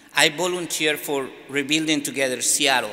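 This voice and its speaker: Audible room echo surrounds a man speaking at a fairly high pitch and moderate pace with ordinary pitch variation. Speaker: immigrant in church sanctuary, business owner. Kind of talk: press conference statement. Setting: press conference in a church. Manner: halting.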